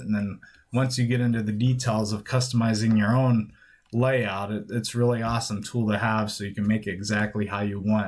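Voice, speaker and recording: Mumbling at a fairly quick pace, a man speaks with fairly even intonation on a very clean recording with a silent background. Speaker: stock trading YouTuber. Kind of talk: screen-recorded software tutorial. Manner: casual, loose delivery.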